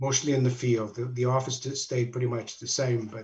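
Somewhat breathy and medium in pitch, a man's voice moves at a moderate pace with monotone, flat intonation. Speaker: retired construction company president. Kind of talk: interview.

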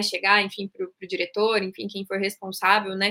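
Fairly quick speech from a woman, pitched in the medium range. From Curitiba, southern Brazil. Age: 30s. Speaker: leadership speaker and company founder. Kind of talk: interview.

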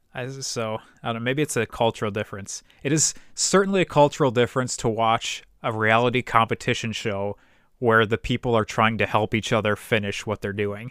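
With an American accent, an ordinary speaking voice moves at a fairly quick pace with ordinary pitch variation, dry and close with no echo on a very clean recording with a silent background. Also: man, medium pitch for a man. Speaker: podcast host. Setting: home recording setup.

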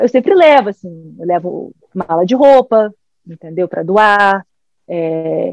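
A woman talks fairly slowly at a medium pitch with lively intonation, a normal speaking voice, the sound dry and close with no echo. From Brazil. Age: 40s. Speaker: governance specialist. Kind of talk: casual chat.

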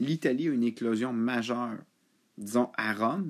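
A man speaks with a Quebec accent. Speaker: football podcaster. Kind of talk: solo casual monologue. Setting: at home.

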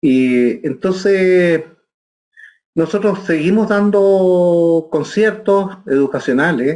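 A man's very slow voice, high for a man, with a dark, mellow tone and ordinary pitch variation. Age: 60s. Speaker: orchestral bassoonist. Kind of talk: interview. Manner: halting.

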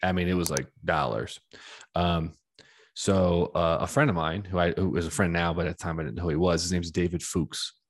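A man with an American accent and vocal fry, very deep, low pitch and ordinary pitch variation at a fairly quick pace, over a quiet background. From Washington DC area. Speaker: podcast host. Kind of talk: casual interview chat. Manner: casual, sweary.

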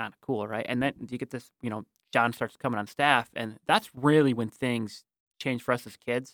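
A man's normal speaking voice at medium pitch, fairly quick and fairly even in intonation, in a dry, close sound with no echo. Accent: American. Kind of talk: casual interview.

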